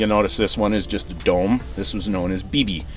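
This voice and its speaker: A man speaks fairly quickly. Behind him is noticeable background noise. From Canada. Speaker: firearms video host. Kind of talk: casual tutorial. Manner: casual, many filler words.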